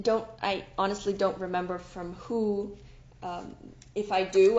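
Over audible room echo, a woman talks at a medium pitch with fairly even intonation. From Switzerland. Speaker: podcast host. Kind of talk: solo storytelling monologue. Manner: unscripted, with restarts and repetitions.

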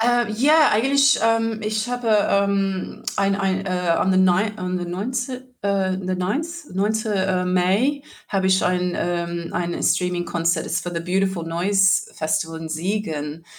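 With an English accent, a woman talks at a very slow pace. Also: medium pitch for a woman, ordinary pitch variation. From Australia, rural New South Wales near Sydney. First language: English (speaking German). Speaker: singer and musician. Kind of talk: interview. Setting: video call. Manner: halting, many fillers.

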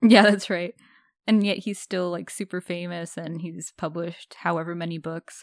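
A woman with a plain, everyday voice speaks at a fairly low pitch and a moderate pace, her intonation fairly even but with big swings in loudness, the sound dry and close with no echo on a very clean recording with a silent background. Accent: Canadian. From Canada. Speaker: podcast co-host. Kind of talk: casual chat. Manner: laughs often.

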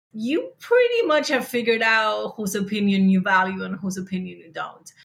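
This woman speaks at a moderate pace in a medium pitch. Her voice is somewhat breathy. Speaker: podcasting entrepreneur. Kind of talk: panel discussion.

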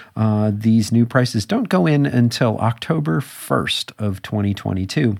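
A man with a normal speaking voice talks at a fairly low pitch. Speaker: podcast host. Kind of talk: podcast interview and tech news. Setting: studio.

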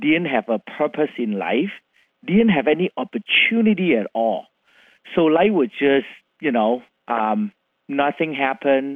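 This man has a Vietnamese accent and a fairly high pitch with very wide pitch swings. He talks at a fairly slow pace, with long, frequent pauses. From Vietnam, Chinese heritage. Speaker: CEO of education company. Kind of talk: interview. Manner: animated.

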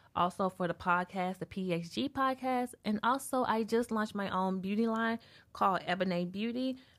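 On a very clean recording with a silent background, a woman speaks with an American accent. Hers is an unremarkable speaking voice, with a moderate pace and ordinary pitch variation. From US South. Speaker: podcast host. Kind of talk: show intro and housekeeping; casual chat.

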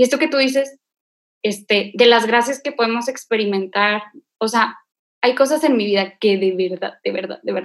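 Pitch moves in a typical way through a normal speaking voice delivered at a medium speed. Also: woman, fairly high pitch for a woman. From Monterrey, Nuevo León, Mexico. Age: 20s. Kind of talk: casual faith conversation and testimony.

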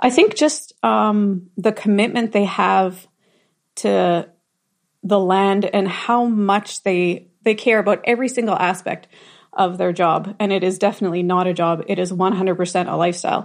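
A woman's medium-pitched voice in a Canadian Prairie accent, moderate pace, ordinary pitch variation, quiet background. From southern Manitoba, Canada. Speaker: farmer. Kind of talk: casual chat.

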